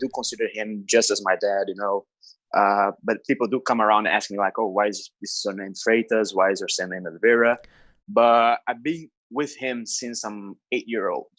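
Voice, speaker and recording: Moderate-paced speech from a man with a Brazilian Portuguese accent, medium in pitch, with fairly even intonation, a quiet background and a dry, close sound with no echo. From Brazil, Rio de Janeiro state. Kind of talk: podcast interview. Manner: casual, halting with fillers.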